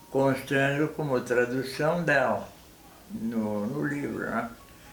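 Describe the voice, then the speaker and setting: Over music in the background and with audible room echo, the speech goes at a very slow pace with ordinary pitch variation. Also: man. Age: 90s. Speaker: elderly family member interviewed. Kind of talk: interview.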